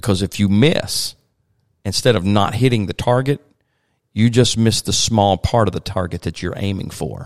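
A man with a Virginia accent, the sound dry and close with no echo. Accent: Southern US (Virginia). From US South. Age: 40s. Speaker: pastor. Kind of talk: podcast interview.

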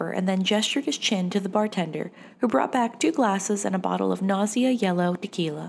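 This is a natural reading voice. It carries the text as written.

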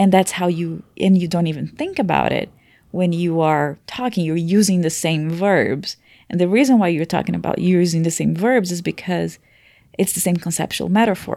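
With a Portuguese accent, a woman speaks at a fairly low pitch in a dark, mellow tone. The recording is very clean, the background silent. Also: ordinary pitch variation, moderate pace. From Brazil. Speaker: language teacher and researcher. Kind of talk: casual explanatory conversation.

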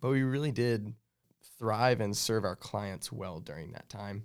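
A man with an American accent speaks in a normal speaking voice. His pitch is medium and his pace moderate. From Kansas. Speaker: digital marketing director, co-host. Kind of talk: casual chat.

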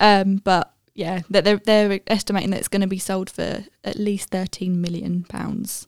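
This woman has a British accent and a medium pitch, talking at a moderate pace with hardly any pauses. Her intonation is monotone and flat, and the sound is dry and close with no echo. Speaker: podcast co-host. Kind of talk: casual chat.

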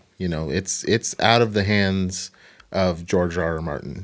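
An ordinary speaking voice from a man with an American accent, fairly low in pitch, at a moderate pace. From Portland, Oregon. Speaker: podcast co-host. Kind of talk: casual chat.

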